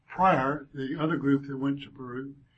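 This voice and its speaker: A man talks with a Southern US accent. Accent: South Georgia, Southern US. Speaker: church class lesson leader, speaker. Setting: church classroom, addressing a group. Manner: folksy, self-deprecating, warm.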